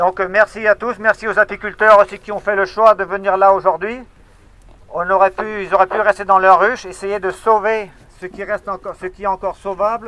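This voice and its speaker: Raised and projected, a man's high-pitched voice comes through with a bright, sharp tone and monotone, flat intonation at a fairly quick pace, with a dry, close sound and no echo. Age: 60s. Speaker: beekeeper. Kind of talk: speech to protesters. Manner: halting.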